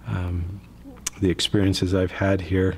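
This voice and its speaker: With an American accent, a man talks at a moderate pace in a somewhat breathy, very deep, low voice. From Utah, US. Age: 50s. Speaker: church member. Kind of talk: testimony. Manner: halting.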